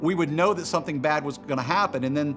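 A man is talking while clear music sounds in the background. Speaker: pastor. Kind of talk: sermon. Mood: warm, humorous storytelling. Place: studio.

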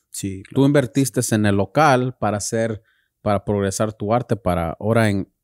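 In a normal speaking voice, a man talks at a moderate pace with a fairly low pitch and ordinary pitch variation, against a quiet background with a dry sound and no echo. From California. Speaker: podcast co-host, tattoo artist; podcast co-host. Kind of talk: casual interview. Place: studio. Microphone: studio mic.

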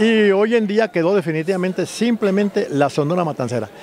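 The speech moves at a moderate pace with very wide pitch swings, dry with no echo and carrying light background noise. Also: man. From Colombia. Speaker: writer and music historian; interviewee. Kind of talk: interview. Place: street. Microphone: handheld.

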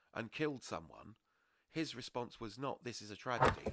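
A man with a British accent talks at a moderate pace. His tone is bright and sharp. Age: 40s. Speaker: podcast host. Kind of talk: casual chat.

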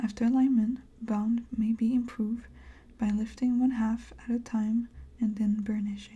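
A soft-spoken woman's dark, mellow, somewhat breathy voice, fairly high in pitch, with very even loudness and monotone, flat intonation. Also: moderate pace. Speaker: ASMR crafter. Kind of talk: reading product instructions aloud. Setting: studio, close microphone. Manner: soft-spoken, gentle. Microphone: studio mic.

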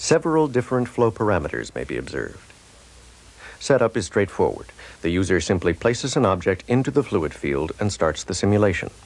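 Swinging very widely in pitch, a man with a fairly low voice talks at a fairly quick pace. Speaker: promotional film narrator. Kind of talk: scripted corporate demo narration, like a vintage educational film. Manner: formal, measured, even-paced and authoritative; dry, matter-of-fact technical delivery.

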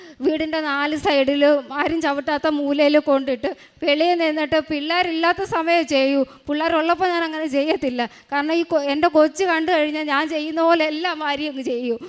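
A woman speaks with a high pitch and fairly even intonation. Noticeable background noise runs underneath. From Kerala, Kollam district. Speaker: mother giving a faith testimony. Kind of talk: religious testimony.

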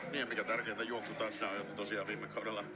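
Noticeable background noise surrounds a man who keeps to a moderate pace. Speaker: color commentator analyst. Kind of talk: live sports commentary, analysis. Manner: calmer, explanatory, reflective.

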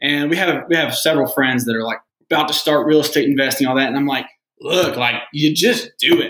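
A man with an American accent talks fairly quickly in a bright, sharp, fairly high voice with ordinary pitch variation. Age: 20s. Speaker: real estate investor. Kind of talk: casual chat.

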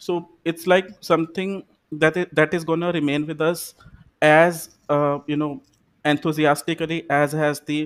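A man with a fairly high pitch, monotone flat intonation and a moderate pace, against a quiet background. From India, Punjab (Amritsar); Punjab, India. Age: 20s. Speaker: English teacher, exam candidate; English teacher, candidate. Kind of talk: mock speaking exam. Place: home room.

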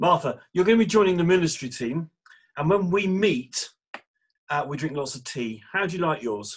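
A man's high-pitched voice with an English accent, lively intonation and a moderate pace. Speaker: church minister. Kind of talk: casual chat and prayer. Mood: warm, cheerful. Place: home room. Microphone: video call.

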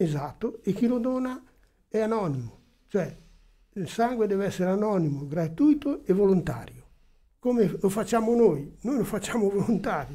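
A man speaks at a moderate pace with long, frequent pauses. His tone is dark and mellow, with a high pitch for a man. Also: lively intonation. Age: old. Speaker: blood donor association volunteer; guest. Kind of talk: radio interview. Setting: radio studio. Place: studio. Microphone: studio mic.

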